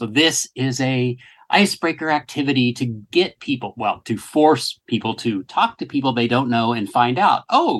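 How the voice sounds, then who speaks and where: There is a quiet background behind an unremarkable speaking voice. A man talks at a fairly slow pace with a fairly high pitch. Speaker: podcast host. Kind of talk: casual podcast discussion.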